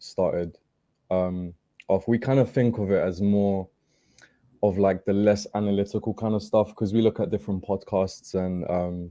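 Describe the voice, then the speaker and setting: Against a quiet background, a man with a British accent talks in a dark, mellow tone at a fairly low pitch, with fairly even intonation and a moderate pace. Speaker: football podcaster, guest. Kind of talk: casual chat. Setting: studio.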